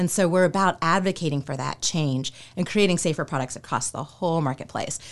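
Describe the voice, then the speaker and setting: A woman at a fairly quick pace and a fairly low pitch, with ordinary pitch variation, an ordinary speaking voice. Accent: American. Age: 40s. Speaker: skincare company consultant, former attorney. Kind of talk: casual interview.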